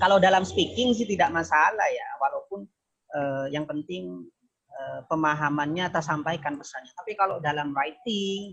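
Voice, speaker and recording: Lively intonation in a Madurese accent at a moderate pace. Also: man. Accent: Madurese accent in Indonesian. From Probolinggo, East Java, Indonesia (Madurese). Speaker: university lecturer, keynote speaker. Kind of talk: online academic discussion. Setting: video call.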